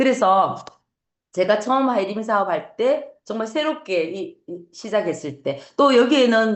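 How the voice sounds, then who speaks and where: At a fairly slow pace, a woman with a Gyeongsang accent speaks at medium pitch with lively intonation. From Gyeongsang region, Korea. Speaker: network marketing business owner. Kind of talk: motivational talk. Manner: halting with fillers.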